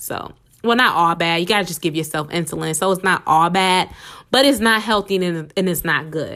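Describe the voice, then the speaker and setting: With an animated tone and medium pitch, a woman talks at a fairly quick pace in a very clean recording with a silent background. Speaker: podcast host. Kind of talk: casual solo podcast talk. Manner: fast.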